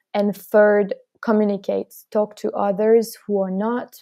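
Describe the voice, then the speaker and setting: A woman's medium-pitched voice with a French accent, dark and mellow in tone, with fairly even intonation. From France. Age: young. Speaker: student climate activist. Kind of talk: interview.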